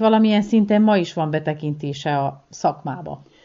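A woman speaks in an ordinary speaking voice at a moderate pace, with ordinary pitch variation. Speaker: radio reporter. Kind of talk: interview.

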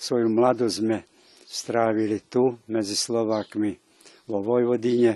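A man at medium pitch with a dark, mellow tone, monotone and flat, at a fairly slow pace. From Vojvodina, Serbia (Slovak minority, Kisáč). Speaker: Lutheran pastor. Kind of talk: interview.

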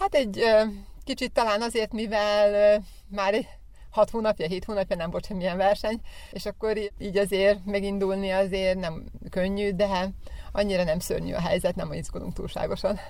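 A woman with a medium pitch speaks in a flat monotone at a moderate pace, taking long, frequent pauses. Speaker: athletics coach, athlete's mother. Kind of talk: radio interview.

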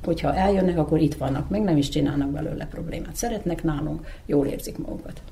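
Noticeable background noise runs under the speech. A woman with a very deep, low pitch talks at a very fast pace. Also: ordinary pitch variation. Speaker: grandmother. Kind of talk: interview.

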